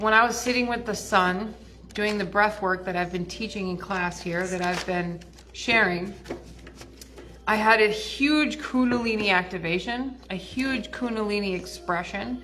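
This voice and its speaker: A woman speaks with ordinary pitch variation. Noticeable background noise and audible room echo come through. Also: medium pitch for a woman, moderate pace. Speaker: spiritual teacher and mentor. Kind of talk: casual livestream talk. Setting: live stream at a wellness center.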